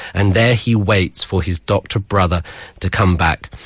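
This man has a fairly low pitch and a British accent. He sounds somewhat breathy, speaking at a moderate pace with ordinary pitch variation. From Britain. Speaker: university lecturer. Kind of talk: radio book segment.

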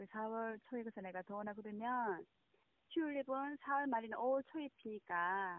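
Pitched fairly high, a woman's voice proceeds at a moderate pace. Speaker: bereaved mother. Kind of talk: phone interview. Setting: phone call.

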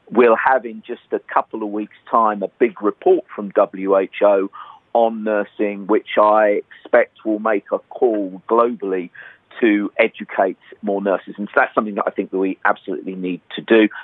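This speaker uses a British accent and keeps a moderate pace. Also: man. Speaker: nurse leader, international health organisation head. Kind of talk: news interview.

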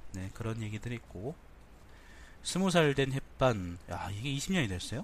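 Somewhat breathy and at a fairly slow pace, a man talks at medium pitch with very wide pitch swings. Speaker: news briefing host. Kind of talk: casual news briefing, reading headlines with commentary. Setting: home recording, very early morning. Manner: casual, opinionated, candid.

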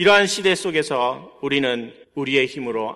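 Against a quiet background, a man speaks at medium pitch. His tone is bright and sharp. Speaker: pastor. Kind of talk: sermon.

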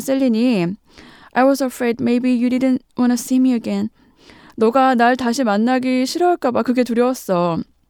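In a very clean recording with a silent background and a dry, close sound free of echo, a woman with a high pitch talks at a moderate pace with ordinary pitch variation. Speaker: radio host teaching English through film. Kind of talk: language lesson on radio.

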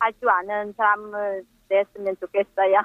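This woman has a fairly high-pitched voice. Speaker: immigrant mother. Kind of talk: casual interview.

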